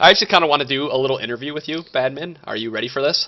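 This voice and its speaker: Very fast male speech with a Michigan accent and ordinary pitch variation. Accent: Michigan accent, described as whiny. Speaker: podcast co-host. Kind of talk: casual chat.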